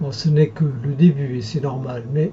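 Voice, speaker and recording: Music plays in the background as a soft-spoken man talks. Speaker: hypnotherapist. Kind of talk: guided hypnosis session. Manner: slow.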